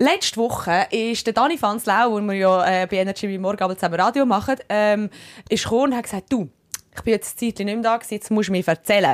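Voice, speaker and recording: Speaking very fast with a Swiss accent and ordinary pitch variation, this voice comes through on a very clean recording with a silent background. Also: woman, fairly high pitch for a woman, dry, close sound with no echo. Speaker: radio host and podcast co-host. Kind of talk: casual chat. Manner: animated, laughing often.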